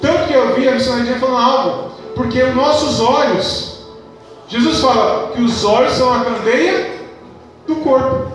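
With a Brazilian accent and an extremely high pitch, a man speaks at a fairly slow pace with ordinary pitch variation and very even loudness over noticeable background noise. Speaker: preacher. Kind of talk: sermon. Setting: church. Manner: earnest, fervent preaching, rhetorical questions, calls for 'amém'; formal, measured, reading scripture aloud.

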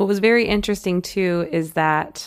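A raspy woman's voice at a moderate pace with ordinary pitch variation. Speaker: psychic medium and astrologer podcast host. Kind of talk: casual solo podcast talk. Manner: hesitant, with fillers.

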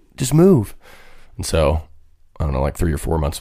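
Over noticeable background noise, a man with a very deep, low voice speaks at a very fast pace with ordinary pitch variation. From US Great Plains (Kansas). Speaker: country singer. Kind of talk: casual chat.

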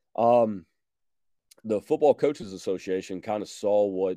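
A man with an American accent talks at a moderate pace in a dark, mellow tone with ordinary pitch variation. The sound is dry and close with no echo, over a quiet background. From Georgia, US. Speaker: high school football coach. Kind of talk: casual interview.

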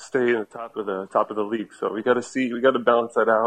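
Talking at a fairly quick pace, a man with a normal speaking voice, medium pitch and an American accent keeps his intonation fairly even. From New Jersey. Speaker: soccer fan. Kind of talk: casual chat.

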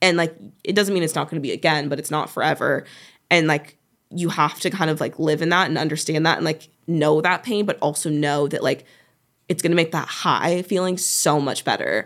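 On a very clean recording with a silent background, a woman with an ordinary speaking voice talks at a fairly quick pace in a fairly low pitch with fairly even intonation. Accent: American. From Oregon, US. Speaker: reality TV contestant and social media manager. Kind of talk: casual chat. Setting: studio.

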